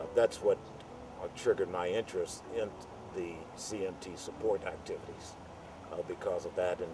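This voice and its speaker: A man keeps a moderate pace while music sounds in the background. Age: 70s. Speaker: retired US Air Force, CMT patient. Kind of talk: interview answer. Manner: hesitant, with many fillers.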